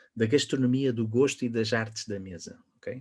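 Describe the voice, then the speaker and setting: In a European Portuguese accent, a man speaks at a moderate pace and medium pitch with a dark, mellow tone. His intonation is monotone and flat, on a very clean recording with a silent background. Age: 40s. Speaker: wine educator and author. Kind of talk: podcast interview.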